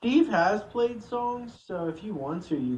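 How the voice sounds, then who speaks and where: Audible room echo carries a man speaking at a fairly slow pace. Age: 20s. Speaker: live panel participant. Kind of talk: casual chat. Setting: Discord voice call.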